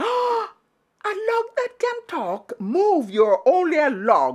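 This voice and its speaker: Extremely high, very slow put-on character voice from a woman. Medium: read story. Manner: blustering, stammering.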